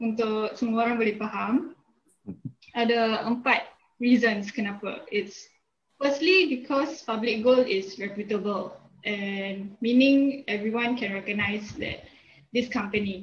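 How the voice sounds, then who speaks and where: A woman speaks very slowly, her fairly high voice somewhat breathy with ordinary pitch variation. Light background noise sits underneath. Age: 20s. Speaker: business graduate. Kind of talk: testimony. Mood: friendly, calm. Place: home room. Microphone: video call.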